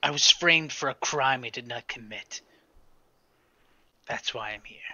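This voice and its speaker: This is a put-on character voice delivered in a whisper. The pace is moderate. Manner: curt, condescending, defensive.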